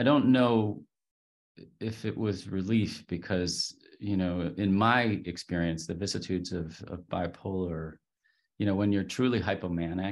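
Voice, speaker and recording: A man with an American accent speaks at a fairly slow pace over a quiet background. His very deep, low pitch varies in an ordinary way. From US, Pittsburgh, Pennsylvania. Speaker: professor and China business consultant. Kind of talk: interview.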